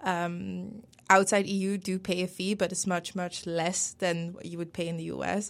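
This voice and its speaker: A woman speaks with a Dutch accent at a medium pitch and with fairly even intonation. The recording is very clean, with a silent background. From Netherlands. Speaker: PhD student. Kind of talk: casual interview.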